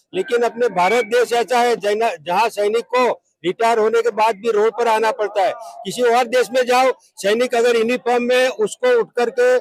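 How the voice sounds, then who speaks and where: The sound is dry and close, with no echo. A man speaks at an extremely high pitch with ordinary pitch variation. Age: 70s. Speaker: retired army subedar, protester. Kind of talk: protest interview.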